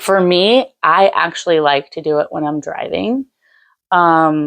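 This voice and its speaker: Fairly low in pitch, a woman's voice unfolds at a fairly slow pace with ordinary pitch variation. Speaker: lifestyle vlogger. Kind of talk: casual vlog talk to camera. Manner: loud; chatty, informal with filler words.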